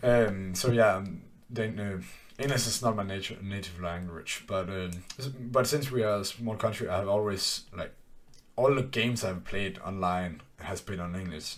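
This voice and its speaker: Audible room echo surrounds a man speaking with a Danish accent at a moderate pace. His voice is fairly low with ordinary pitch variation. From Denmark. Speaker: podcast host and business owner. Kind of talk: casual chat. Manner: halting, many false starts and fillers.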